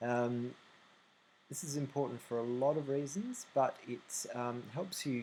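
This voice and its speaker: A man speaks with an Australian accent at a fairly slow pace. His pitch variation is ordinary. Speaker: website tutorial maker. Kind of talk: screen-recording software tutorial. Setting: low recording volume. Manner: hesitant, many fillers.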